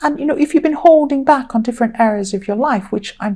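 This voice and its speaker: A woman speaks with a dark, mellow tone that is somewhat breathy. Her intonation is lively. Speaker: tarot reader. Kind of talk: tarot reading monologue. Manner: hesitant, many ums.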